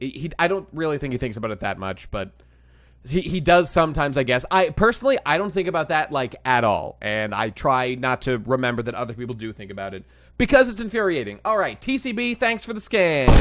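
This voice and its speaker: At a very fast pace, the speech shows very wide pitch swings and big swings in loudness, on a very clean recording with a silent background. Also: man, fairly high pitch for a man. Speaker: streamer reacting to manga chapter. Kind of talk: casual live stream chat. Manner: animated, halting with many fillers.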